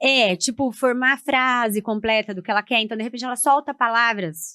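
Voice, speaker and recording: A woman with a strong Paraná accent talks at a fairly quick pace, her fairly high voice bright and sharp in tone with ordinary pitch variation. The sound is dry and close with no echo, over a quiet background. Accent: Paraná accent, strong rolled final R. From Paraná, southern Brazil. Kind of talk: podcast interview.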